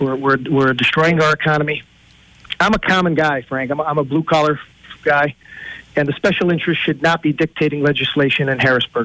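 The recording is dry and close, with no echo, as a man talks in a normal speaking voice. His pitch is fairly high, his intonation fairly even, and his pace fairly quick. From Pennsylvania, Lackawanna County. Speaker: political candidate, former police officer. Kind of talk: radio interview.

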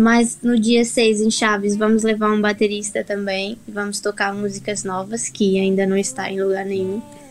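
A woman's monotone, flat delivery with hardly any pauses, over noticeable background noise. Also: medium pitch for a woman, moderate pace. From Brazil. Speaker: singer-songwriter. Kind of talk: radio interview.

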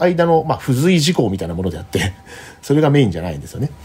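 Speaking at a very fast pace, a man uses a dark, mellow tone that is somewhat breathy, with very wide pitch swings. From Japan, Kanagawa. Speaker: polar explorer. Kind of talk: interview. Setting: remote call.

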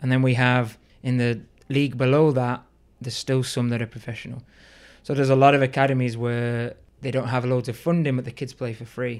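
A man with a Liverpool accent speaks fairly quickly at medium pitch in a monotone, flat intonation. The recording is very clean with a silent background. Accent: Liverpool (Scouse) English. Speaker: youth soccer coach. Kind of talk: casual interview.

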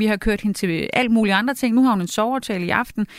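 Here a woman talks in a normal speaking voice. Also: dry, close sound with no echo, very clean recording, silent background. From Denmark. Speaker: journalist and cookbook author. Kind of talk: casual chat. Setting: studio.

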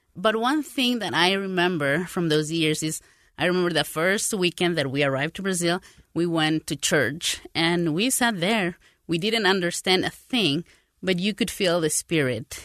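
In a Spanish accent, a woman speaks at a moderate pace and fairly low pitch, with a dry, close sound, no echo and a quiet background. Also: lively intonation. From Paraguay and South America. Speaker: translator. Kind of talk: casual interview conversation.

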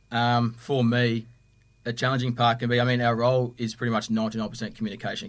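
With an Australian accent, a man of medium pitch speaks at a very fast pace in monotone, flat intonation, recorded very cleanly against a silent background. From Victoria, Australia. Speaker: police custody officer. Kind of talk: podcast interview.

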